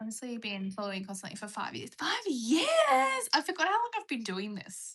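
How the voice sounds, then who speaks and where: The intonation is lively. The tone is bright and sharp. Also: woman. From Australia. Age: 20s. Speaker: livestreamer with a pet bird. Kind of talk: casual live stream chat.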